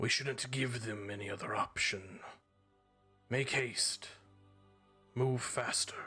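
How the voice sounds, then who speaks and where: In a put-on character voice, a man speaks raspy and at a medium pitch, at a fairly slow pace with long, frequent pauses and fairly even intonation, with hissing and faint music in the background. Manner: urging, impatient.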